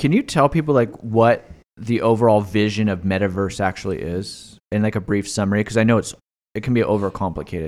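With an ordinary speaking voice, a man of fairly low pitch talks at a fairly quick pace and ordinary pitch variation on a very clean recording with a silent background. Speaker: podcast host, wealth management firm founder. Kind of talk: casual chat about personal finance.

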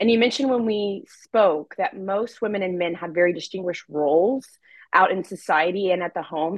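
A woman talks in a normal speaking voice at medium pitch with ordinary pitch variation. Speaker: podcast co-host. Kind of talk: interview.

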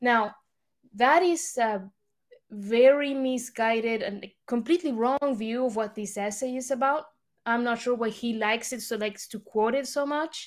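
On a very clean recording with a silent background, a woman with a high pitch speaks at a moderate pace in a Spanish accent with ordinary pitch variation. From Argentina. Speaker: think tank analyst. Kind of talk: podcast discussion.

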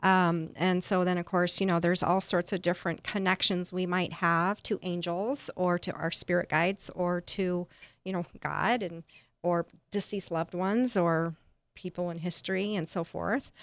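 In an unremarkable speaking voice, a woman talks at a moderate pace with a fairly low pitch and fairly even intonation. The sound is dry and close, with no echo. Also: very clean recording, silent background. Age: 50s. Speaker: transformational life coach and author. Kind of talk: casual interview chat.

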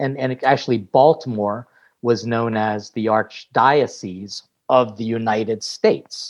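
This man has an unremarkable speaking voice with an American accent, medium pitch and ordinary pitch variation. He speaks at a fairly slow pace over a quiet background. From US. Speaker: priest and chef. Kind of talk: casual interview.

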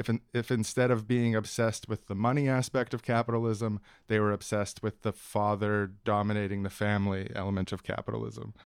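In a very clean recording with a silent background, a medium-pitched man talks at a fairly quick pace. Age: 30s. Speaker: podcast host and cartoon creator. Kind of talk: casual interview. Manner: halting.

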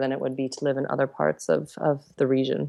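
A woman with a Canadian accent speaks in a very deep, low pitch. The background is quiet. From Canada. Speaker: expat in South Africa. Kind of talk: interview.

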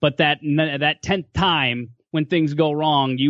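A man with an Upper Midwest accent speaks at a fairly high pitch with fairly even intonation. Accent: Upper Midwest American. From western Minnesota. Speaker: sportscaster. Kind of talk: casual chat. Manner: halting, many fillers.

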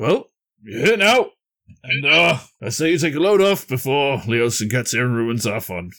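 A man puts on a character voice at a medium pitch. He keeps a moderate pace. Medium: actual play. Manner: boisterous, hearty, blunt.

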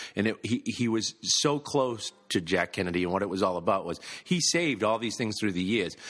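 A man with an American accent talks very fast in a fairly low voice, his intonation lively, with music playing behind him. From Massachusetts. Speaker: auctioneer. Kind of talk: casual interview. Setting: auction gallery.

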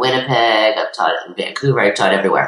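Very deep and low in pitch, a woman's voice carries lively intonation. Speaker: acting coach. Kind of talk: interview. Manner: hesitant fillers.

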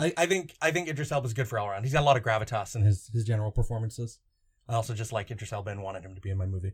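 A medium-pitched man talks at a very fast pace with lively intonation and a somewhat breathy voice. The recording is very clean, with a silent background. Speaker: podcast host. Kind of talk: casual chat.

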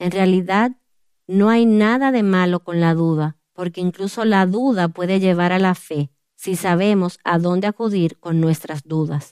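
A woman at medium pitch with ordinary pitch variation, a plain, everyday voice, and a moderate pace. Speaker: author and women's ministry speaker. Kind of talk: testimony.

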